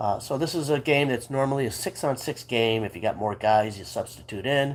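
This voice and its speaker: Using lively intonation, a man with a normal speaking voice and an American accent talks at a fairly quick pace. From US Midwest, Chicago suburbs. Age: 60s. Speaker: sports vlogger. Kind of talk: casual monologue. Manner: relaxed, with many fillers.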